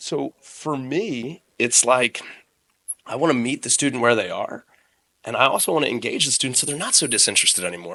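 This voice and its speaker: Bright and sharp in tone, a man talks at a fairly quick pace. His medium pitch moves with lively intonation. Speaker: strength coach and gym owner. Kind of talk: casual podcast interview. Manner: loud, excitable.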